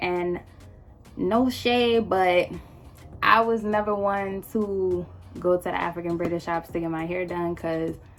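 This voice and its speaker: A woman at a fairly slow pace, with long, frequent pauses and music playing in the background. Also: medium pitch for a woman. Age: 20s. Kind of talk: storytime talk to camera. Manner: casual, animated, slangy.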